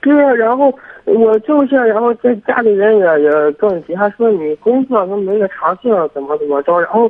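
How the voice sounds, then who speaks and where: This man has a high-pitched voice. He talks at a moderate pace with lively intonation. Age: 20s. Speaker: vocational college student. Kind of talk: phone-in advice call. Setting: phone call. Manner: halting.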